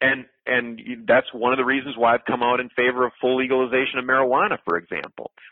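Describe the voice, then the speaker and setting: In a Wisconsin accent, a man speaks very fast at medium pitch with fairly even intonation. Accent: Upper Midwest (Wisconsin). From rural Wisconsin, Clark County. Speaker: political candidate. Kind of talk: interview. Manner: repetitive, stumbling restarts.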